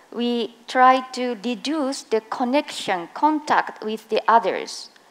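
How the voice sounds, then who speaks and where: Very slowly and with lively intonation, a woman speaks at a high pitch in a strong Japanese accent. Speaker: occupational safety and health specialist. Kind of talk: conference presentation. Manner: slow, deliberate; hesitant, many fillers.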